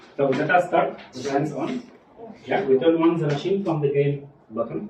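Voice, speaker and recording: Amid noticeable background noise and audible room echo, a man talks at a moderate pace with a fairly high pitch and lively intonation. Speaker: medical device trainer. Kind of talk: hands-on training session. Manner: halting.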